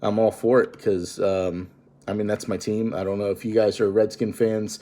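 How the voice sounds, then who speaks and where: A man's fairly low voice with a dark, mellow tone. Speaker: vlogger. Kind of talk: casual vlog monologue. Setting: at home. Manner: monotone; quiet, holding volume down.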